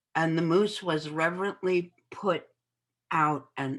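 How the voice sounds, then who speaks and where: Against a quiet background, a woman with a very deep, low pitch and vocal fry speaks at a very slow pace with ordinary pitch variation. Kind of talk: interview answer.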